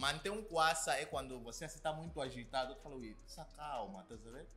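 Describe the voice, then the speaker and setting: At a fairly quick pace, a man with an Angolan accent talks with big swings in loudness over faint music in the background. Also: fairly high pitch for a man, lively intonation. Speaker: YouTuber. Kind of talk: casual talk to camera. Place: home room.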